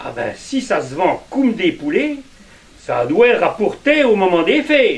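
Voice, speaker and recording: A man speaks at an extremely high pitch and a very slow pace, with very wide pitch swings. Noticeable background noise runs underneath. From Puisaye, Burgundy. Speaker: storyteller. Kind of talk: folk tale told to a live audience.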